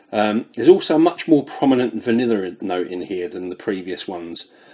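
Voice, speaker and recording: In a British accent, a speaker with a dark, mellow tone talks at a fairly quick pace. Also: man. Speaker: fragrance reviewer. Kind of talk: product review.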